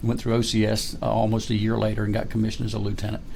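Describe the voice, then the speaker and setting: A man speaks with audible room echo. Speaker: retired army colonel. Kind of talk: interview.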